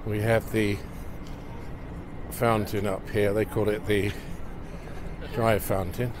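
The speech comes at a very slow pace with long, frequent pauses. The sound is dry with no echo, over noticeable background noise. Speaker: local city videographer. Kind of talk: casual walking-tour commentary. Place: street.

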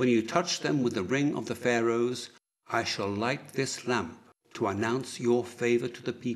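Before a quiet background, an unforced reading voice keeps a fairly even intonation.

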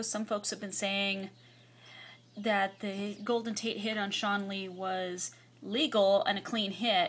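With an ordinary speaking voice, a woman talks at a fairly high pitch and a fairly slow pace, keeping her intonation fairly even. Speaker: YouTuber. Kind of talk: casual vlog. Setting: at home computer. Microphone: phone near.

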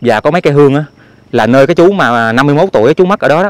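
A man with a fairly high pitch uses lively intonation, and the sound is dry with no echo. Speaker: channel owner and vlogger reporting from crime scene. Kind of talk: on-location vlog narration. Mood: somber, hushed. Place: open country. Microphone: phone near.

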